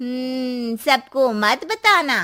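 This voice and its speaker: Using a cartoonish character voice, a woman speaks at high pitch with lively intonation. The recording is very clean with a silent background. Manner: knowing, cautionary.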